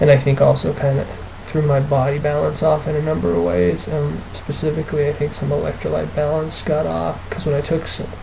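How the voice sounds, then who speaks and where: There is audible room echo on this recording. The man speaking has a fairly high pitch. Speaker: video blogger with chronic illness. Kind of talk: personal video diary. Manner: halting, many fillers.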